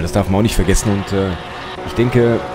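A man's fairly low voice at a very fast pace, with ordinary pitch variation, music in the background and audible room echo. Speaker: sim racing streamer. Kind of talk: casual live stream chat. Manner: casual, slangy, many fillers.

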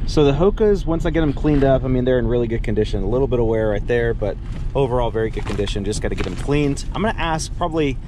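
A man talking at a very fast pace, dry sound with no echo, noticeable background noise behind him. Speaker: thrift reseller vlogger. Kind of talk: casual vlog chat. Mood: upbeat, chatty. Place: car. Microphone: phone near.

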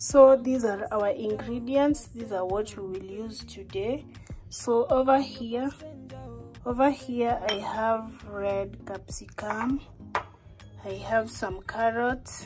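A woman at a very slow pace, her loudness swinging widely, with clear music in the background. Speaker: home cook vlogger. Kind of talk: casual cooking tutorial. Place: kitchen. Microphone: phone near.

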